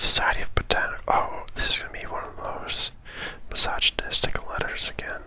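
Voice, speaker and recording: Whispering at a fairly quick pace over noticeable background noise. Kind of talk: ASMR gaming playthrough. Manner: whispered.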